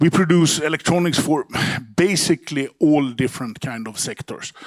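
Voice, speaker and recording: A man speaks with a strong Swedish accent. His intonation stays fairly even. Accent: broad Swedish. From Sweden. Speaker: company CEO. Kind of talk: conference talk. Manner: halting, many repeated words.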